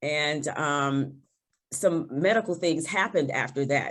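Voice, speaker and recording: At a fairly slow pace, a woman talks. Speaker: toastmasters competitor on a panel. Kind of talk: panel discussion.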